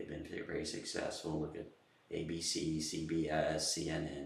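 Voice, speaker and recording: At a moderate pace, a man speaks with an American accent, and room echo can be heard. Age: 70s. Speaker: political commentator. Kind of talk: political monologue. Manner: halting, many fillers and repeats.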